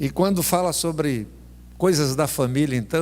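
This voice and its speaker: This man speaks with a Brazilian accent. His pace is fairly slow, with ordinary pitch variation. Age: 60s. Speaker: pastor. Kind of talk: sermon. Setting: church.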